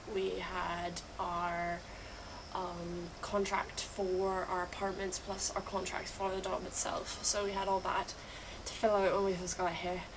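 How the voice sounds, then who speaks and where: The voice moves at a fairly slow pace in a flat monotone, with noticeable background noise behind it. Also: woman. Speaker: English teacher on exchange program in Japan. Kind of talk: casual vlog talk to camera.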